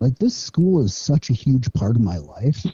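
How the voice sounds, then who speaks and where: A man with an Upper Midwest accent sounds somewhat breathy, his pitch making very wide swings. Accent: Upper Midwest American. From northern Minnesota, US. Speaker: kindergarten teacher and fishing guide. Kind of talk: podcast interview.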